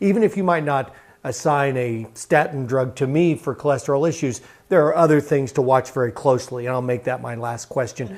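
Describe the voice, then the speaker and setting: A man speaks in a normal speaking voice with ordinary pitch variation at a fairly quick pace. The recording is very clean, with a silent background. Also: medium pitch for a man. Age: 60s. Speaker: TV news host. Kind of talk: TV health interview.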